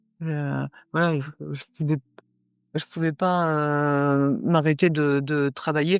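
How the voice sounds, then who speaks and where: A woman speaks in a very deep, low pitch, recorded with a dry, close sound and no echo. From northern France. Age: 60s. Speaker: Paralympic athlete. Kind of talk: interview. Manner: halting, many hesitations.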